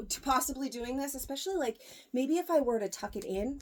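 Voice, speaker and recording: A woman's high-pitched, raised and projected voice, bright and sharp in tone, with lively intonation. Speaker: boutique owner doing clothing try-on videos. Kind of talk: casual try-on haul video. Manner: fast.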